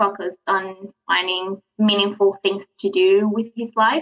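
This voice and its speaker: In a South American accent, a woman talks at a fairly slow pace. Her pitch sits in the medium range. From Venezuela. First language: Spanish. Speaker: lettering artist. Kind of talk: podcast interview. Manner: hesitant, many fillers.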